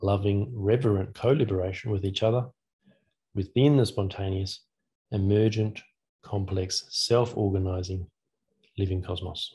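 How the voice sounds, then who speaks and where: A man's fairly low, somewhat breathy voice at a moderate pace, with fairly even intonation, long, frequent pauses and a quiet background. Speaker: academic speaker; speaker. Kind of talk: lecture. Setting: video call. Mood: calm, reflective. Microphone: video call.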